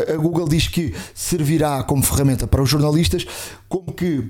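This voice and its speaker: Here a man speaks in a dark, mellow tone. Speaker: tech podcast co-host. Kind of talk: casual chat.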